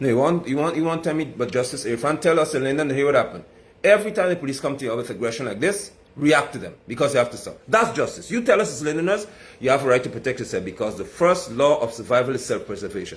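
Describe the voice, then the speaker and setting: A man with a Guyanese accent talks at a very fast pace, his tone animated and his intonation lively. His voice is somewhat breathy. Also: fairly high pitch for a man. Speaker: political commentator. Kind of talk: political commentary monologue.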